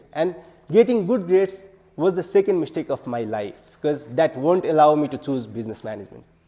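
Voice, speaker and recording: The speaker's dark, mellow tone carries a Nepali accent and lively intonation. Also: man. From Nepal, far western region. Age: 20s. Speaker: public speaking club member. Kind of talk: prepared speech.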